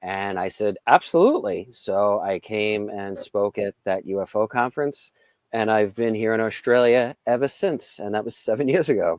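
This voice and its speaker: In a New York accent, a man talks at a medium pitch and moderate pace with ordinary pitch variation, in a very clean recording with a silent background and a dry, close sound with no echo. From New York, Long Island. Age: 40s. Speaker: psychic and UFO contactee, firefighter. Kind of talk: interview.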